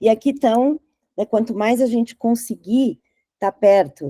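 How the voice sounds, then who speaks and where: With a plain, everyday voice, a woman speaks at a fairly slow pace in a medium pitch with lively intonation, the sound dry and close with no echo. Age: 60s. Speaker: advertising strategist. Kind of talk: talk presentation.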